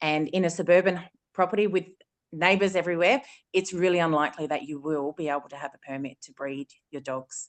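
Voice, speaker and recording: A woman with an Australian accent speaks at a fairly quick pace in a very deep, low voice with fairly even intonation against a quiet background. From South Australia. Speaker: dog breeder. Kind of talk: panel discussion.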